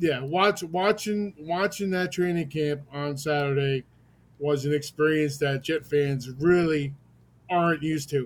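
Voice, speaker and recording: A man with an ordinary speaking voice, fairly high in pitch, at a fairly slow pace with ordinary pitch variation. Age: 50s. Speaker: caller, sports fan. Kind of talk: call-in conversation.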